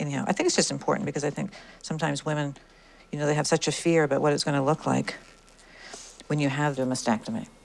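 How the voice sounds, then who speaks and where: A woman with a very deep, low pitch talks at a very fast pace with vocal fry and ordinary pitch variation. She leaves long, frequent pauses. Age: 60s. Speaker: breast cancer patient. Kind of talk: casual chat.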